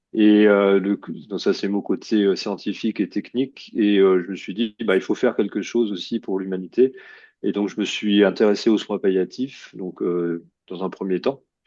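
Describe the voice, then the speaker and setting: Over a quiet background, the speaker uses a dark, mellow tone, a moderate pace and fairly even intonation. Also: man, fairly low pitch for a man. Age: 60s. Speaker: oncologist. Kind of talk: lecture. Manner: halting.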